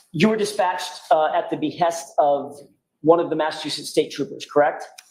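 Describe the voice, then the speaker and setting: A loud, high-pitched man talks at a fairly quick pace. His intonation is fairly even, and the room echo is audible. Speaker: defense attorney. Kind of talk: courtroom cross-examination. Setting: courtroom. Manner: raised voice, loud; formal.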